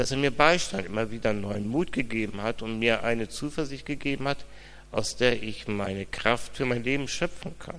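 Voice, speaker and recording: A man's mid-range voice rings with audible room echo. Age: 50s. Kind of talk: interview testimony in church service.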